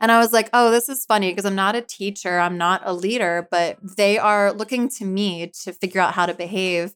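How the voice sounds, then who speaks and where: A woman's ordinary speaking voice with an American accent, medium in pitch, at a fairly quick pace with hardly any pauses and fairly even intonation. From US Northeast, Philadelphia area. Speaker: author and YouTuber on faith. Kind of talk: casual interview chat.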